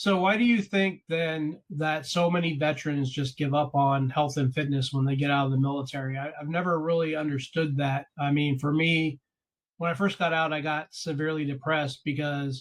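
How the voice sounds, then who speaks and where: Fairly high in pitch and somewhat breathy, a man's voice holds fairly even intonation. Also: moderate pace. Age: 40s. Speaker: podcast host and coach. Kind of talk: interview conversation.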